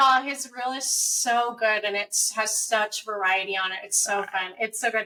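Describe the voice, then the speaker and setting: A woman talks in an ordinary speaking voice, fairly high in pitch, at a moderate pace and with fairly even intonation. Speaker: voice actor. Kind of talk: casual interview answer.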